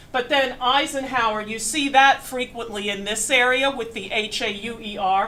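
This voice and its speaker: Speaking in an American accent, a woman with fairly high pitch keeps a moderate pace and fairly even intonation with hardly any pauses, amid noticeable background noise and audible room echo. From Pennsylvania, western Berks County. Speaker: museum curator, history lecturer. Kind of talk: lecture. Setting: large room with audience, microphone. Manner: loud.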